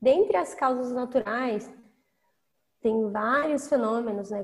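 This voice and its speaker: A woman with a high voice talks at a fairly slow pace with lively intonation. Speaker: oceanographer. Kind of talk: casual podcast conversation with explanations.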